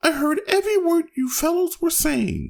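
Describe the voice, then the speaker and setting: In a put-on character voice, squeaky and hoarse at an extremely high pitch, the speaker moves at a moderate pace. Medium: read story.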